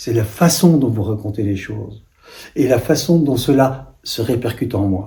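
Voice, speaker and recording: Somewhat breathy and dark, mellow in tone, a man speaks at a fairly slow pace with lively intonation. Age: 70s. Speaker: life coach. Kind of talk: self-promotional talk.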